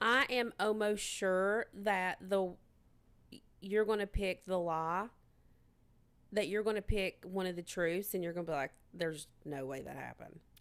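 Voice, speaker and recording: A woman with a medium pitch speaks in a rural American accent at a fairly slow pace, with long, frequent pauses. The recording is very clean with a silent background. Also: ordinary pitch variation. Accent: rural American, hillbilly-type. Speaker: podcast co-host. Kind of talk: casual chat.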